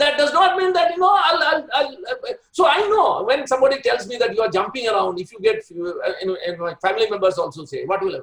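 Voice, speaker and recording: A man's extremely high voice racing along at a very fast clip, loudness surging and dropping sharply, pitch swinging very widely, with hardly any pauses. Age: 60s. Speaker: doctor. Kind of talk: webinar talk. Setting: webinar. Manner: halting, repeats words.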